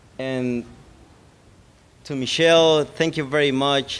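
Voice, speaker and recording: With a Salvadoran accent, a man speaks at a fairly slow pace and a fairly high pitch, his intonation fairly even. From El Salvador. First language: Spanish. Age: 20s. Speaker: GED graduate. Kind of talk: graduation speech. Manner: halting, many repetitions.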